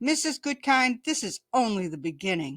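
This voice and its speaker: In a very clean recording with a silent background, a woman uses a put-on character voice, high-pitched and full of very wide pitch swings. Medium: read story.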